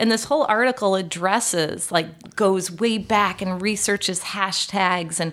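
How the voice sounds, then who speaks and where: A woman with a normal speaking voice talks in an American accent at a fairly slow pace. Her medium pitch varies in an ordinary way. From US Midwest, Chicago area. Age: 40s. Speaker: account director. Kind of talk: interview. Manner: laughs often.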